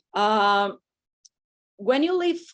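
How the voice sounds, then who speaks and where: A woman with a Brazilian accent, against a quiet background. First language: Portuguese. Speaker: panel moderator. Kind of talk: panel moderation. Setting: video call.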